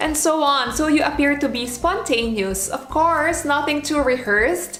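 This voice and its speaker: With a non-native accent, a woman speaks at a moderate pace in a high voice with lively intonation. Noticeable background noise sits behind her. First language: not English. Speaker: former flight attendant, vlogger. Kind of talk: advice vlog.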